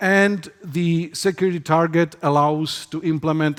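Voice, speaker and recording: Ordinary pitch variation marks this voice with a non-native accent. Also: man. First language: not English. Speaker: security researcher. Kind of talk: conference talk. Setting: stage with audience.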